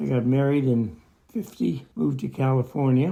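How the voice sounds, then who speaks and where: A man with an American accent talks here. His tone is dark and mellow, and somewhat breathy. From Pacific Northwest, USA. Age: 90s. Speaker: WWII veteran. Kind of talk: interview answer.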